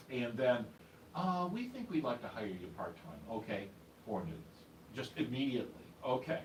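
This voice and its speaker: Amid noticeable background noise and audible room echo, a man of medium pitch talks at a moderate pace with very wide pitch swings and long, frequent pauses. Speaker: radio DJ and newsreader. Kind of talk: casual interview chat. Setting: studio.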